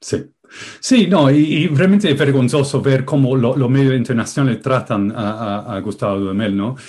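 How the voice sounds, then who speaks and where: A man with a non-native accent speaks at a moderate pace and a medium pitch. His intonation is lively. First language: not Spanish (speaking Spanish). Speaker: music researcher. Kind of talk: interview. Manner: halting.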